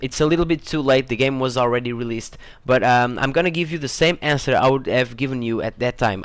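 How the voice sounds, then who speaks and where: With a non-native accent, a man speaks at a fairly quick pace and with fairly even intonation. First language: not English. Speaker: gaming YouTuber. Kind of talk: casual vlog Q&A. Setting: home room. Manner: hesitant, many fillers and repetitions.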